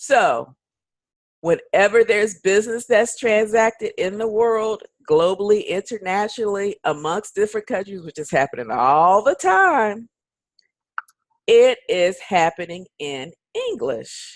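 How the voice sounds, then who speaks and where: At a fairly slow pace, a woman speaks in an animated tone with lively intonation, a medium pitch and big swings in loudness. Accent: American. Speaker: online English teaching recruiter. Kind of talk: sales pitch.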